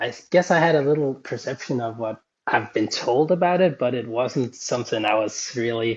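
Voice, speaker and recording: A man speaks with a Danish accent. His pace is moderate. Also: medium pitch for a man, ordinary pitch variation. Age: 30s. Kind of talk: podcast interview.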